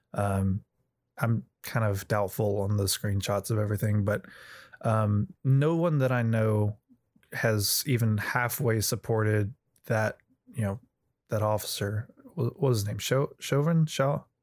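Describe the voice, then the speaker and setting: A man's fairly low voice with ordinary pitch variation, at a fairly slow pace, in a very clean recording over a silent background. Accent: Southern US. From US South. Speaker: friend of the host. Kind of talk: casual discussion. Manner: hesitant, many fillers.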